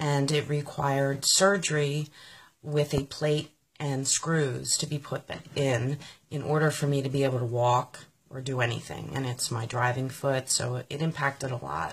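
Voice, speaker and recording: Somewhat breathy and very deep, a woman with an American accent speaks at a moderate pace with fairly even intonation on a very clean recording with a silent background. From US, Pennsylvania (Philadelphia area). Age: 40s. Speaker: political supporter sharing her story. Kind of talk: personal testimony.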